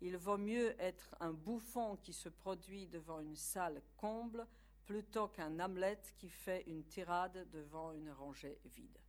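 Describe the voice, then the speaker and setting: Her Polish accent comes through as a woman speaks at a very slow pace, with a fairly low pitch, ordinary pitch variation and big swings in loudness. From Poland. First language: Polish (speaking French). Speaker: university academic lecturer. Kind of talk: lecture.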